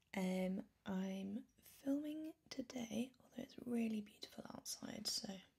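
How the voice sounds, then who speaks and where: A soft-spoken woman's voice, fairly high and dark and mellow in tone, with ordinary pitch variation, a very slow pace and hardly any pauses. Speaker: ASMR creator. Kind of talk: soft-spoken ASMR crystal collection presentation. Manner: soft-spoken, slow.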